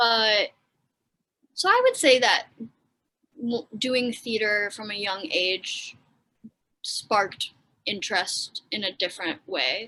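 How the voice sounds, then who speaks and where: Speaking very slowly with long, frequent pauses, a woman with an American accent has a fairly high, bright, sharp voice and ordinary pitch variation. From Wisconsin, US Midwest. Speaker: actor and aspiring comedian. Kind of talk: casual chat.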